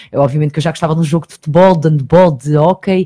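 A woman speaks at a very deep, low pitch, somewhat breathy, with a dark, mellow tone. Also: dry, close sound with no echo. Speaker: TV presenter and online magazine journalist. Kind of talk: radio interview. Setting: radio studio. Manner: talkative, fast.

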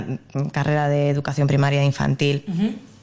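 Moderate pace from a woman's voice over a quiet background. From Spain, Madrid. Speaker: early childhood educator. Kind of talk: interview. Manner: hesitant, with fillers.

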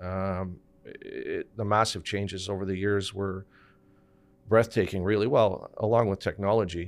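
A man's fairly low, flat monotone with a Montreal accent, at a fairly slow pace, on a very clean recording with a silent background. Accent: Anglo-Montreal Canadian English. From Montreal's West Island, Quebec. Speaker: portfolio manager. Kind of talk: casual chat.

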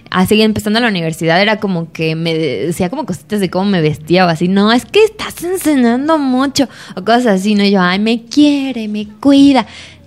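A woman with a fairly high pitch speaks at a fairly quick pace, her intonation lively and hardly any pauses breaking it, with noticeable background noise behind her. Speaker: podcast co-host. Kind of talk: casual chat.

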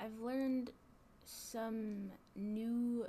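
Her voice is somewhat breathy, with a fairly high pitch and a dark, mellow tone. The woman's intonation stays monotone and flat. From Georgia, Gwinnett County. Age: young. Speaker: college student. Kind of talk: interview. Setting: office.

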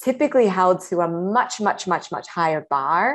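A woman talks at a moderate pace in an unremarkable speaking voice against a quiet background. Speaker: startup co-founder. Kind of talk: casual interview chat.

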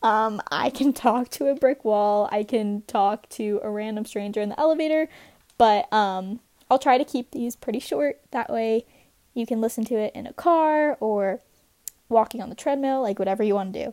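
In a very clean recording with a silent background and a dry, close sound with no echo, a woman with an American accent speaks at a moderate pace in a dark, mellow tone with ordinary pitch variation. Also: fairly high pitch for a woman. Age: 19. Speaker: podcaster, college student. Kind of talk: solo podcast monologue. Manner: casual, chatty with fillers.

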